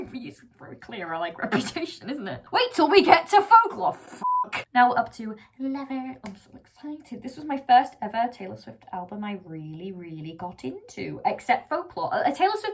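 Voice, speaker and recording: A high-pitched woman speaks with very wide pitch swings, big swings in loudness and hardly any pauses over noticeable background noise. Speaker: YouTuber ranking songs. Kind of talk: casual vlog commentary. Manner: fast; animated.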